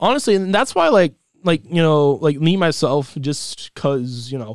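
A man speaks in a high voice with lively intonation. The recording is very clean, with a silent background. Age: young. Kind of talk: casual chat. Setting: studio.

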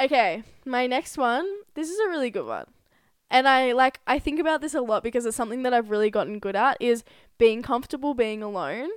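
The speaker moves at a fairly quick pace with lively intonation in a very clean recording over a silent background. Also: woman, high pitch for a woman. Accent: Australian. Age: 20s. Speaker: podcast co-host. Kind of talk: casual chat.

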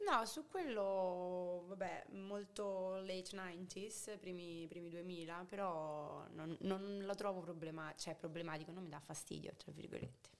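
A woman speaks at a medium pitch and a fairly slow pace, with hardly any pauses. She has an ordinary speaking voice and fairly even intonation. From Rome, Italy. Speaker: podcast guest. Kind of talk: casual chat.

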